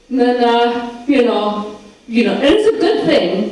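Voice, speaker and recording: Over noticeable background noise and audible room echo, a woman speaks with an American accent. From United States. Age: 30s. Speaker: stand-up comedian. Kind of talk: stand-up. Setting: stage with audience.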